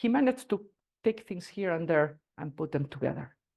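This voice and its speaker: With a Spanish accent, a man speaks at a moderate pace in a high-pitched voice. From Spain, Basque. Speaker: agile consultant and speaker. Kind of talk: talk to a meetup audience. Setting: stage with audience, also streamed online. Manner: halting, many fillers.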